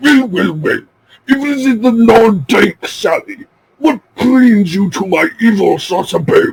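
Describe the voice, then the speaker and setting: A man puts on a character voice at an extremely high pitch. He talks fairly slowly, with very wide pitch swings. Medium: read story. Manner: sinister, gloating.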